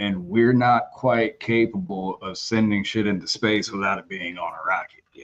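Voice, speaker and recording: With music in the background, a man in a Texan accent talks at a moderate pace and a fairly low pitch, with ordinary pitch variation, big swings in loudness and hardly any pauses. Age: 30s. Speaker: voice actor. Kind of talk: casual chat. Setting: live stream.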